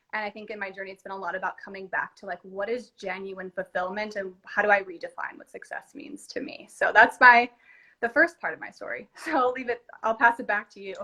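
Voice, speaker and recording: A woman's fairly high, bright, sharp voice with a Californian accent, fairly quick pace, ordinary pitch variation and big swings in loudness. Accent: Californian American. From California, US. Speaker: entrepreneur. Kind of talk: casual chat. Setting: Instagram live video.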